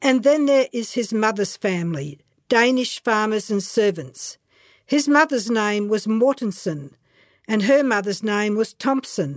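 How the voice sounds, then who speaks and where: With an Australian accent, a woman speaks at a fairly slow pace in a fairly high pitch and lively intonation, on a very clean recording with a silent background. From rural Queensland, Australia. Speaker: memoir writer. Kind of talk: reading aloud.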